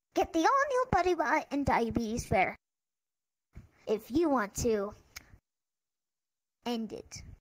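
In a put-on character voice, the speaker uses a high pitch and a fairly slow pace. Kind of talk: parody TV commercial. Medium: game stream.

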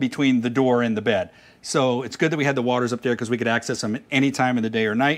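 Ordinary pitch variation marks the way this man talks. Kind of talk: casual vlog chat. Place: street.

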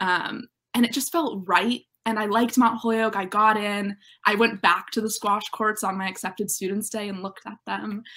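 Against a quiet background, a woman with an American accent uses a bright, sharp tone and fairly even intonation. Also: moderate pace. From Western Massachusetts, Northampton; Western Massachusetts. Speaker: college student athlete; interviewee. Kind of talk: interview. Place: home room.

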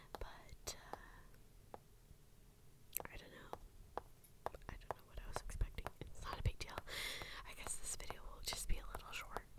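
A woman whispers at a moderate speed with long, frequent pauses and big swings in loudness, while noticeable noise sits in the background. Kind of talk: reading game instructions aloud with casual commentary. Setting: ASMR recording with tapping sounds in background. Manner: whispered, quiet, soft-spoken.

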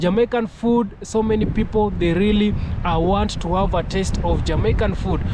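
A man's high voice with fairly even intonation, a dry sound with no echo, and noticeable background noise. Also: moderate pace. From Kenya. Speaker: YouTuber. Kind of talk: video commentary. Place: open country. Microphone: phone near.

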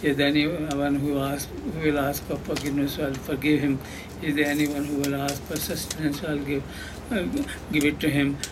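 Amid noticeable background noise, a man talks at a moderate pace in a monotone, flat intonation. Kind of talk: sermon. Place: church. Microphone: handheld.

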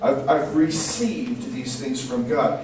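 A man's voice, with ordinary pitch variation, comes through audible room echo and light background noise. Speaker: preacher. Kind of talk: sermon. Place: church.

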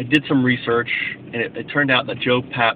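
A man at a fairly quick pace, dry sound with no echo, noticeable background noise. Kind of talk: casual vlog chat. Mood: reflective, enthusiastic. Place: car. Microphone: phone near.

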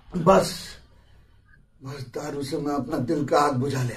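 A man at a very slow pace. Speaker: comic performer. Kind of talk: comic skit monologue. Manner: slurred drunk-acted lament. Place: home room. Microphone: phone near.

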